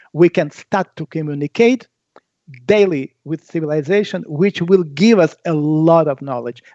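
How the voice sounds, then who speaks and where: Speaking fairly slowly, a man uses an unremarkable speaking voice with fairly high pitch and lively intonation. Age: 60s. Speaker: researcher of ancient technology. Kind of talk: interview.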